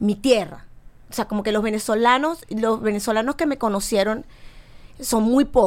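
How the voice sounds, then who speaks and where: A woman is talking. The rise and fall of her pitch is ordinary. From Venezuela. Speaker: singer. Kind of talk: casual chat.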